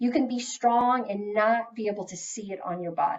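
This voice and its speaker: Her fairly high pitch rises and falls with ordinary variation as the woman speaks. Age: 50s. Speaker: health educator. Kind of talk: webinar presentation. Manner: animated.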